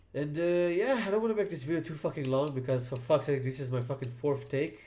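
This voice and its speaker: A man's somewhat breathy voice carries a dark, mellow tone at a fairly high pitch. He speaks at a very fast pace with ordinary pitch variation. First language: not English. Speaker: gaming YouTuber. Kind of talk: unscripted casual monologue. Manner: hesitant, many fillers.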